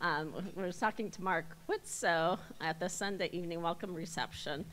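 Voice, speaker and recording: At a moderate pace, a woman speaks in an ordinary speaking voice, fairly low in pitch, with fairly even intonation. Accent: American. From US Midwest. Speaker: airport executive, election candidate. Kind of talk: campaign speech.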